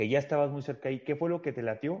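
The voice has a Mexican accent and lively intonation over a quiet background. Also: man. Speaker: fitness podcast host. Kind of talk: casual chat.

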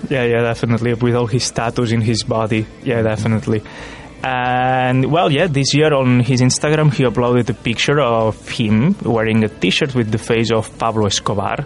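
With music in the background, a man talks at a fairly quick pace and medium pitch, with ordinary pitch variation and hardly any pauses. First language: not English. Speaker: student radio presenter. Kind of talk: casual chat.

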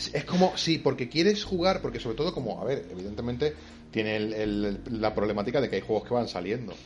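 At a very fast pace, a man speaks at a medium pitch. His voice makes very wide pitch swings. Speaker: podcast co-host. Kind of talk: casual chat.

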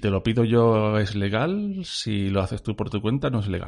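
A man has an ordinary speaking voice at medium pitch, with ordinary pitch variation. The background is quiet. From Spain, Cádiz. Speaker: podcast co-host. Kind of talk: casual chat.

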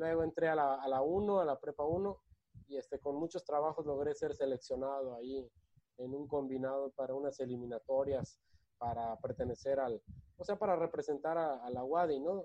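A man's plain, everyday voice at a fairly high pitch, with ordinary pitch variation and a moderate pace. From Mexico, Guadalajara then Mérida (Yucatán). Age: 30s. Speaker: singer-songwriter and former amateur footballer. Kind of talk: casual chat.

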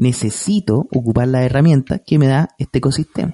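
In a Chilean accent, a man talks at a fairly high pitch and a moderate pace with a dark, mellow tone, in a dry, close sound with no echo. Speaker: podcast co-host. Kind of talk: casual comedic chat.

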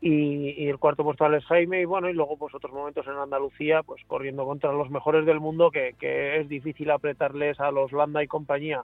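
A man speaks at a fairly quick pace with hardly any pauses. His pitch is fairly high and his intonation monotone and flat. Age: 40s. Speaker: cycling team sports director. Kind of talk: casual interview.

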